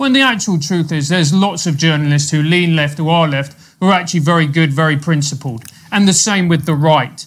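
A man with a British accent and a fairly high pitch talks at a fairly quick pace, with hardly any pauses, very even loudness and ordinary pitch variation. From UK. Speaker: podcast host. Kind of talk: interview.

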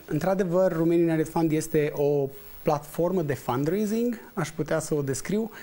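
A man has an unremarkable speaking voice, pitched fairly high with ordinary pitch variation. His pace is moderate. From Romania. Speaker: entrepreneur and investor; guest. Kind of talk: TV interview. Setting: studio. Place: studio. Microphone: lapel.

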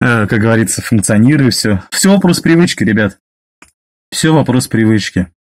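Medium-pitched male speech at a moderate pace, with lively intonation, long, frequent pauses and a quiet background. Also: very even loudness. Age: 30s. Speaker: driver sharing weight-loss story. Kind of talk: personal testimony monologue; casual vlog chat. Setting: self-recorded video. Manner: halting with fillers. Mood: calm, matter-of-fact. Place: car. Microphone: phone near.

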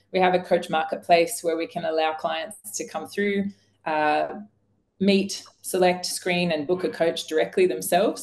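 A woman speaks at a moderate pace with a fairly low pitch. Her intonation stays fairly even. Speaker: coaching company founder and chief executive. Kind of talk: webinar discussion. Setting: video call. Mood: upbeat, promotional. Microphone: video call.

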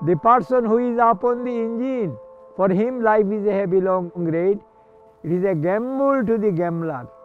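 A high-pitched man at a moderate pace, with ordinary pitch variation and music in the background. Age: 80s+. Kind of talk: poetry reading.

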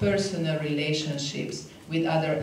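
Recorded with audible room echo and light background noise, a woman speaks with a Hungarian accent. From Hungary. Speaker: diplomat. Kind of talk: conference talk. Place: hall. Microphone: podium.

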